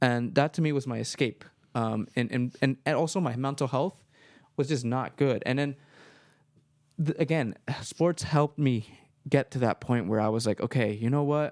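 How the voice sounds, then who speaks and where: A man's medium-pitched voice with ordinary pitch variation at a moderate pace, with long, frequent pauses, on a very clean recording with a silent background and a dry, close sound with no echo. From Marin County, California. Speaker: radio studio coordinator and radio host. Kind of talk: casual interview conversation.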